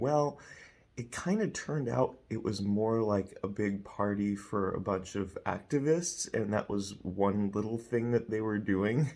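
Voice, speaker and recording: Quietly and at a fairly slow pace, the speaker talks with ordinary pitch variation. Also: man, fairly low pitch for a man. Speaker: evangelist. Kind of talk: personal vlog story.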